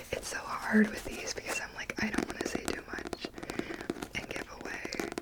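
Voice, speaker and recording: Someone whispers at a moderate pace amid noticeable background noise. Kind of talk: ASMR book review. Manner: whispered, soft-spoken.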